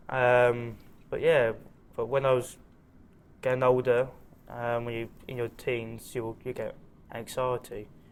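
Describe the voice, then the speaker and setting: A man's medium-pitched, monotone, flat voice, broken by long, frequent pauses. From southern England. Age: 20s. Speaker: amputee sportsman. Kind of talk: interview. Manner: hesitant, many fillers.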